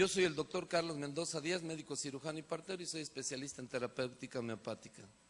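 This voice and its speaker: This man has a fairly high pitch. He talks at a very fast pace. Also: ordinary pitch variation. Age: 60s. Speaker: physician. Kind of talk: lecture.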